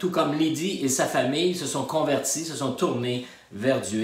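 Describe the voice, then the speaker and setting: There's audible room echo and noticeable background noise as a man talks at a moderate pace in a fairly high pitch. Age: 60s. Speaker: pastor. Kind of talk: testimony. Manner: halting.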